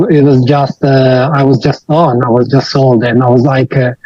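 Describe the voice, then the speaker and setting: A man's medium-pitched voice with an Italian accent, moderate pace and fairly even intonation. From Italy. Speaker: IT professional and online course student. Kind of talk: interview testimony. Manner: hesitant, many fillers.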